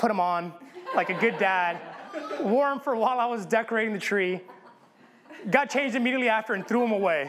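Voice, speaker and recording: At a very fast pace, the speaker shows ordinary pitch variation over light background noise. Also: man. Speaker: pastor. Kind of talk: sermon. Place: church.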